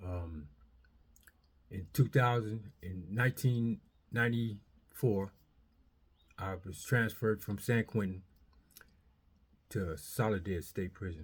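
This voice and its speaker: A man's fairly low voice with an American accent, very slow pace, long and frequent pauses, big swings in loudness, ordinary pitch variation and a somewhat breathy quality, on a very clean recording with a silent background. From Southern California. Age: 60s. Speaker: formerly incarcerated man. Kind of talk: testimony. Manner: halting, many fillers.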